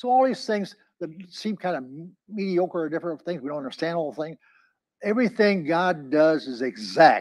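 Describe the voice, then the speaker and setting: A man speaks fairly quickly at a high pitch. His intonation is lively and the background quiet. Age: 80s+. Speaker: pastor. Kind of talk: sermon. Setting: church. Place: meeting room. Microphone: lapel.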